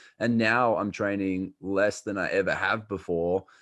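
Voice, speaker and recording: Fairly even intonation in an Australian accent against a quiet background. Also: man. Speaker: health coach. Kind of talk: podcast interview. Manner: casual, many fillers.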